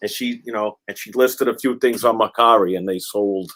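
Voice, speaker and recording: With an American accent and a normal speaking voice, a man talks at a moderate pace with ordinary pitch variation in a very clean recording with a silent background. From Massachusetts, near Boston. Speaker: online reseller. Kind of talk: casual chat.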